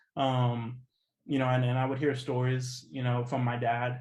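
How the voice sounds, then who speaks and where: Room echo is clearly audible as a man speaks in a monotone, flat way. His voice is somewhat breathy, and his pace is fairly quick. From US Midwest, Kansas City, Kansas. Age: 20s. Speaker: activist. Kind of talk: interview. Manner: hesitant, many fillers.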